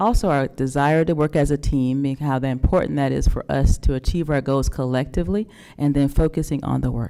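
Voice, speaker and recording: With a Southern US accent, a woman speaks fairly quickly at a very deep, low pitch with a dark, mellow tone, ordinary pitch variation and hardly any pauses. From North Carolina. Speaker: school district administrator. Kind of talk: presentation to a public board meeting.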